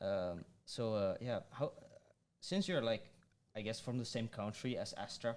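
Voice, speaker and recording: Talking at a fairly slow pace with long, frequent pauses, a man with a Dutch accent uses lively intonation at a medium pitch. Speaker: podcast host. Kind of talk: casual podcast interview. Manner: hesitant, many fillers.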